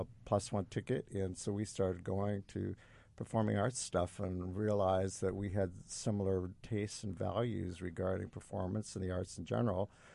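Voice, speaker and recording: A very deep, low male voice with an American accent, dark and mellow in tone, at a moderate pace with fairly even intonation and hardly any pauses. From Indiana, Fort Wayne. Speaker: musical writer and producer. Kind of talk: casual chat. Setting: studio.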